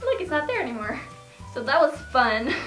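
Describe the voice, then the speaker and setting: A woman speaking at a fairly quick pace over noticeable background noise. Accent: American. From Sweden. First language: Swedish. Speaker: YouTuber, English learning vlogger. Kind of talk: casual talk to camera. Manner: upbeat, chatty.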